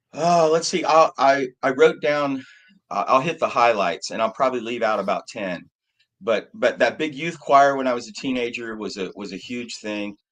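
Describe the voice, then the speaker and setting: A man with an American accent and an ordinary speaking voice talks at a moderate pace and medium pitch, his intonation lively. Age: 60s. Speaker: musician, keyboard player. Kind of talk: casual interview.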